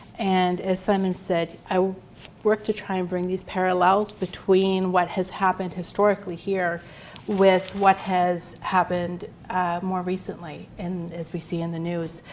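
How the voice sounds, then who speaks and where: A woman's medium-pitched voice, monotone and flat in intonation, at a moderate pace. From Nova Scotia. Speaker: history lecturer. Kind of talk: lecture. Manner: quiet.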